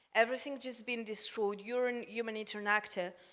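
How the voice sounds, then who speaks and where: A bright, sharp tone carries speech with a non-native accent. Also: woman. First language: not English. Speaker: humanitarian donor representative. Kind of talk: panel discussion. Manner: halting.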